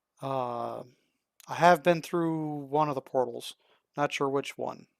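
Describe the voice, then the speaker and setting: The speech comes at a fairly slow pace on a very clean recording with a silent background. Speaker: gaming video creator. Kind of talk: gameplay walkthrough commentary. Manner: halting, many fillers and restarts; casual.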